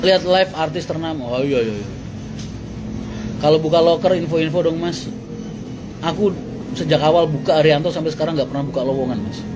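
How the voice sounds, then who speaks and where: Over background music and audible room echo, a man with a fairly high pitch talks very fast with long, frequent pauses and ordinary pitch variation. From Tangerang, Indonesia. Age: young. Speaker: bus company owner. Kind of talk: casual live stream chat. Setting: live stream. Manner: casual.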